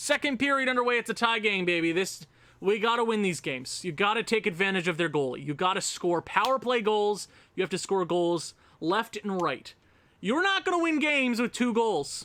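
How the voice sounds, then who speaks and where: A man's raised, projected voice, high in pitch, with an animated tone, lively intonation and a fairly quick pace. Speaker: gaming YouTuber. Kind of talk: video game commentary. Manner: loud.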